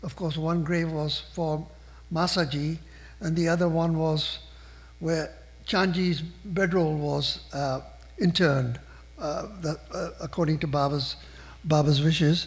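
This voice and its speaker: In a room with audible echo, a man with a fairly high pitch speaks at a fairly slow pace in a monotone, flat delivery broken by long, frequent pauses. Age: 70s. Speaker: invited speaker at a spiritual gathering. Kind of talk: personal storytelling talk. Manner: conversational with fillers.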